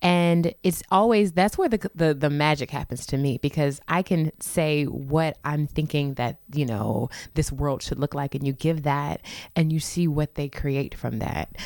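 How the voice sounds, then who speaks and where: A woman speaks with a St. Louis accent and a very deep, low pitch with ordinary variation. Her pace is fairly slow, and the sound is dry and close with no echo. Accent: Midwestern American (St. Louis). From St. Louis, Missouri. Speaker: theater professor and actor-director. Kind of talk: radio interview. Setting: radio studio.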